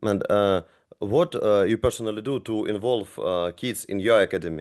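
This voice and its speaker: A man's fairly low voice with a non-native accent, ordinary pitch variation, and a moderate pace. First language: not English. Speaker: basketball coach, podcast host. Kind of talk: podcast interview. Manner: halting, many fillers.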